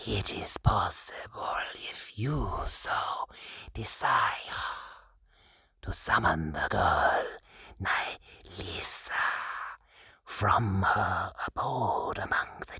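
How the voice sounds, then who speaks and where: A man's put-on character voice, whispering and hissing at a very slow pace with long, frequent pauses. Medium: read story. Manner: deferential.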